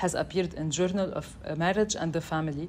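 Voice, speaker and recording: A normal speaking voice with fairly even intonation over light background noise. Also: woman. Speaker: event host introducing speakers. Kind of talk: formal introduction. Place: classroom.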